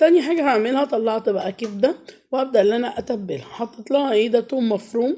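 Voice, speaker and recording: A woman speaks at a moderate pace with a high pitch and a dark, mellow tone. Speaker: cooking vlogger and mother. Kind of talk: cooking vlog voiceover. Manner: casual and chatty.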